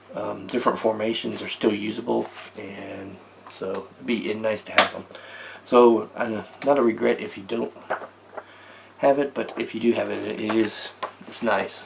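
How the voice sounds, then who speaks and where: A man with an American accent leaves long, frequent pauses against noticeable background noise. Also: moderate pace, big swings in loudness. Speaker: tabletop gaming YouTuber. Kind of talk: casual product review. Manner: hesitant, many fillers.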